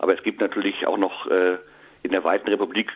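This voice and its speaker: Noticeable background noise runs throughout. Over it, a man is talking. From Germany, Münster. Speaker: comedian. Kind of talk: casual interview. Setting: phone call. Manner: hesitant, many fillers.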